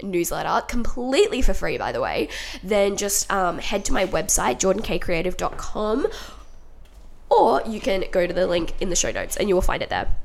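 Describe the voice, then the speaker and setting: A woman with an Australian accent, at a fairly quick pace. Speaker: podcast host. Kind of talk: solo podcast monologue, casual self-help talk. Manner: chatty, upbeat, animated.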